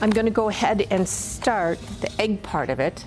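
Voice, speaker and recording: Background music under a woman talking at a middling speed. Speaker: grandmother home cook. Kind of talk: cooking demonstration and family memories. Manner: lively.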